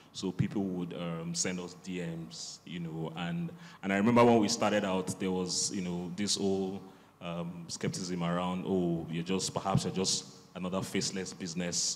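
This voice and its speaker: A man's very deep, low voice, fairly even in intonation, at a moderate pace. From Nigeria. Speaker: bookseller. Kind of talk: panel discussion. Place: hall. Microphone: handheld.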